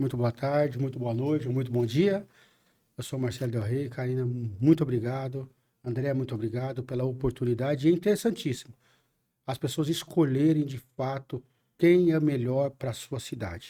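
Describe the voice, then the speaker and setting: A man of medium pitch speaks at a moderate pace with a dark, mellow tone, ordinary pitch variation and a somewhat breathy quality. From São Bernardo do Campo, São Paulo, Brazil. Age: 50s. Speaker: city council candidate. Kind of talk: podcast interview.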